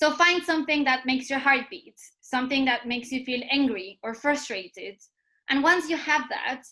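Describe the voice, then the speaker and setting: Raised and projected, a woman's high-pitched voice carries a bright, sharp tone. She keeps a moderate pace with ordinary pitch variation. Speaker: activist speaker. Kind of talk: talk. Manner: impassioned.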